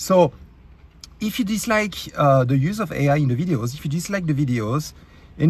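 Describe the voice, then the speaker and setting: A man with a French accent, a fairly high pitch, very wide pitch swings and a fairly quick pace. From France. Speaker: YouTube creator. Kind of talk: rant. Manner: halting, many fillers; animated.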